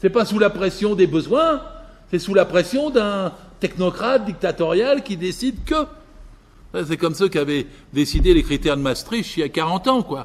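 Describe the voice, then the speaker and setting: The speaker keeps a moderate pace but leaves long, frequent pauses, with very wide pitch swings. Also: man, high pitch for a man. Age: 80s+. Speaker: political speaker. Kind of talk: public lecture. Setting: village hall with audience. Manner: animated.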